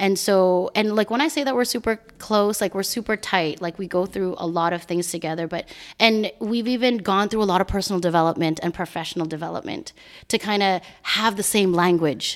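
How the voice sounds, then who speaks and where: A woman's plain, everyday voice at a medium pitch with ordinary pitch variation, in a very clean recording with a silent background. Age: 40s. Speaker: community advocate and entrepreneur. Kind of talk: casual chat.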